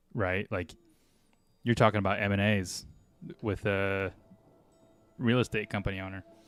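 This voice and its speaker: Over background music, a man with a fairly low voice speaks at a moderate pace in a flat monotone, leaving long, frequent pauses. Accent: American. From US Midwest, Iowa. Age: 30s. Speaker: digital marketing agency owner and streamer. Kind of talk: casual chat on a live stream, answering chat. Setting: home office live stream.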